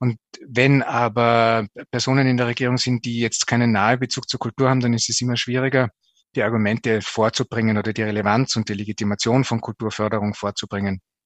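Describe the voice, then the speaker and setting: A man rattles off his words at a very fast pace with monotone, flat intonation. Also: medium pitch for a man. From Austria, Tyrol (Zillertal). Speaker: culture journalist and TV presenter. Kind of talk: interview. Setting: internet call.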